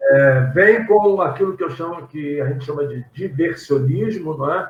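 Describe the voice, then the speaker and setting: A man speaks in a normal speaking voice, fairly high in pitch, with ordinary pitch variation. His pace is fairly slow. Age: 60s. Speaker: pastor and theology teacher. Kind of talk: casual chat.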